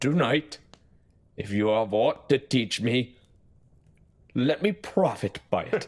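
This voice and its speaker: A man puts on a character voice. He speaks at a medium pitch and a fairly slow pace. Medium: audio drama. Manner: cautious, dry.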